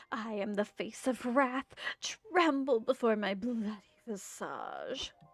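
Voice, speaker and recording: A woman puts on a theatrical, dramatic character voice, shrill and fairly high, speaking fairly slowly with ordinary pitch variation as music plays behind her. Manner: theatrical, shrill, dramatic.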